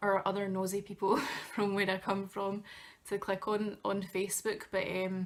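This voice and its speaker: Speaking at a moderate pace with very even loudness, a woman with a Glaswegian accent keeps a monotone, flat intonation. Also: medium pitch for a woman. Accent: Glaswegian Scottish. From Scotland, Glasgow. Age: 20s. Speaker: travel blogger and student. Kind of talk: vlog tutorial. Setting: bedroom, talking to camera. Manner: casual, with many fillers.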